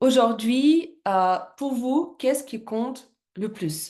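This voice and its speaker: A woman's high-pitched voice with lively intonation at a very slow pace. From Russia. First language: Russian (speaking French). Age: 30s. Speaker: network marketing presenter. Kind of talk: business presentation. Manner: halting, many hesitations.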